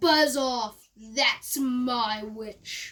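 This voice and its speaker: Doing a put-on character voice, a woman sounds shrill, croaky and growling at a high pitch. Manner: gruff, dismissive.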